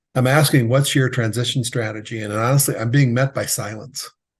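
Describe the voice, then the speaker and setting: A man with a medium-pitched, somewhat breathy voice talks at a fairly quick pace with ordinary pitch variation. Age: 60s. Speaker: exit planning advisor for contractors. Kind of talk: interview.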